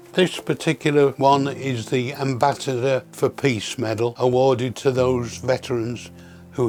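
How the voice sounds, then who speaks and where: A man with a British accent speaks at a fairly slow pace and medium pitch. His intonation is fairly even, with music playing in the background. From United Kingdom. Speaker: war veteran. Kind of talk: interview answer.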